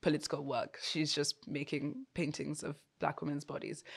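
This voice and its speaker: A woman speaks at a moderate pace in a flat, monotone way. The recording is very clean, with a silent background. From Nigeria. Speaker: art historian. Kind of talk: interview.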